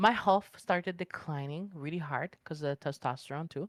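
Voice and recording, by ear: A woman's low voice at a fairly slow pace, in a dry, close sound with no echo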